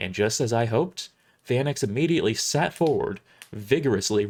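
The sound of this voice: Lively intonation in an unforced reading voice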